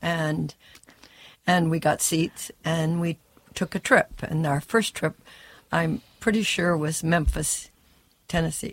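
Somewhat breathy speech comes at a very slow pace with long, frequent pauses, recorded very cleanly with a silent background and a dry, close sound with no echo. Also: woman. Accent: American. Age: 70s. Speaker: sports super fan. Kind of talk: casual interview.

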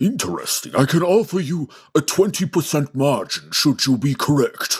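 A man puts on a character voice with a husky, rough edge, pitched fairly high, with big pitch swings at a moderate pace.

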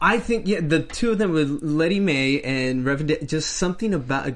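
Heard here is a normal speaking voice. Its pitch varies in an ordinary way. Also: man. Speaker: after-show host. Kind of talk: casual after-show chat.

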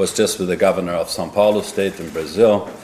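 Noticeable background noise runs under the recording. A man speaks over it at a fairly quick pace. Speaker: bank executive. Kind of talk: panel interview.

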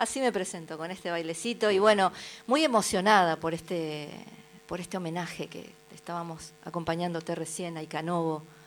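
At a moderate pace, a woman speaks in a fairly low pitch with ordinary pitch variation and big swings in loudness. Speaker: folk singer-songwriter. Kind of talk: casual interview chat. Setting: radio studio.

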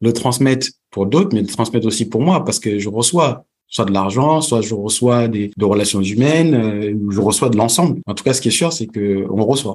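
A man speaks at a medium pitch with ordinary pitch variation. He has a normal speaking voice and a moderate pace. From Senegal, came to France at 11. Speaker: entrepreneur, networking expert. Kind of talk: podcast interview.

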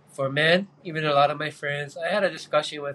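Very fast speech comes from a man with a fairly high pitch, set against noticeable background noise. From Hawaii (Kauai). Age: 40s. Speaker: spearfisherman. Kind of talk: casual chat.

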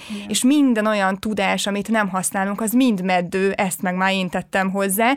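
A woman speaks at medium pitch and a moderate pace, with hardly any pauses. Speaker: podcast host. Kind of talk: casual chat. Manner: energetic.

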